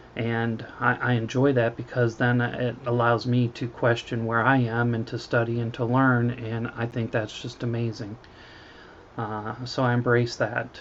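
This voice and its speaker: Soft-spoken, a man talks at a fairly slow pace in a medium-pitched voice. His intonation is flat and monotone. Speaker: poet and funeral director. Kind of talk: casual vlog monologue. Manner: halting, many fillers.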